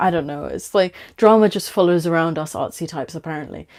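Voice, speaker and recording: In a very clean recording with a silent background, a woman with a British accent speaks at a fairly quick pace in a medium pitch with fairly even intonation. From Bangladesh. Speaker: livestreamer reading own fiction. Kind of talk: casual chat; reading aloud. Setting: livestream. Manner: stuttering.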